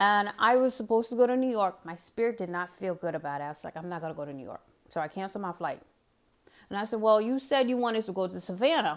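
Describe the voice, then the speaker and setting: A woman speaks at a very fast pace and medium pitch, with lively intonation and big swings in loudness. The recording is very clean, with a silent background. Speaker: faith-based inspirational vlogger. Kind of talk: inspirational talk to camera. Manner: repetitive, emphatic.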